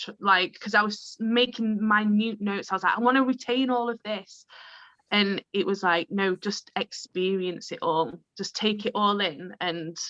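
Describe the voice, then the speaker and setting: Speaking at a fairly slow pace, a woman with a medium pitch and ordinary pitch variation has a bright, sharp tone in a dry, close sound with no echo. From northern England, Chorley, Lancashire. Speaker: improviser and improv teacher. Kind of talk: casual chat.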